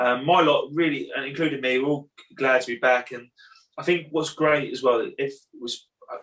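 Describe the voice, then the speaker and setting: A man with an English accent speaks at a fairly high pitch, his intonation fairly even but his loudness swinging widely. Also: moderate pace. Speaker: karate instructor. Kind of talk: casual chat.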